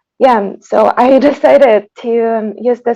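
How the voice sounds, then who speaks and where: With a Tatarstan accent, a woman speaks with fairly even intonation against a quiet background. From Tatarstan, Russia. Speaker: composer. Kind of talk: panel discussion.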